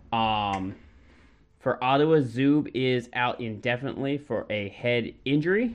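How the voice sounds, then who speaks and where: In a normal speaking voice, the speaker moves at a fairly slow pace with ordinary pitch variation. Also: man, medium pitch for a man. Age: 30s. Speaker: hockey podcast co-host. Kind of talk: casual chat.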